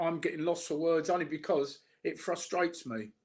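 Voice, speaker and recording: A man's high-pitched voice with a Cockney accent. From South London, England. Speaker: online commentator. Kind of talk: casual chat. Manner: halting, repeats words.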